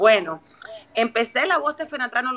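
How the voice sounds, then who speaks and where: The woman's intonation is lively, with noticeable background noise behind her. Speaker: TV presenter and communicator. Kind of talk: interview. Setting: Twitter audio space.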